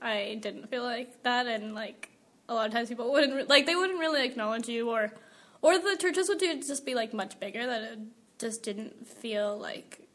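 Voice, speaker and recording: Noticeable background noise sits behind a woman who speaks at a fairly quick pace, her fairly high voice showing ordinary pitch variation. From US West Coast, Central Valley California. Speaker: college student and church band singer. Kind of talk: interview testimony. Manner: casual with many fillers.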